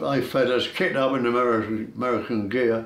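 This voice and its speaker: Room echo is clearly audible. The delivery is moderately paced, with fairly even intonation. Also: man. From London. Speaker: war veteran. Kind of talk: testimony. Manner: halting, with repetitions.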